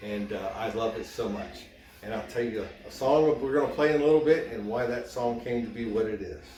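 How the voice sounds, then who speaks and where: Music plays in the background and audible room echo fills the space. A man at medium pitch talks at a fairly quick pace with ordinary pitch variation. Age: 60s. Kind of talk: show-and-tell presentation.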